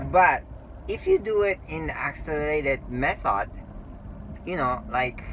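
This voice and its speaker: Over noticeable background noise, a man with a Japanese accent speaks at a fairly slow pace with long, frequent pauses. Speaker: language learning vlogger. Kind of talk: casual talk to camera. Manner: halting.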